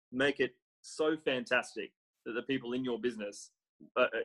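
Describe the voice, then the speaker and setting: Australian-accented speech from a man, the sound dry and close with no echo. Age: 30s. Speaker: real estate business development manager. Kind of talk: interview.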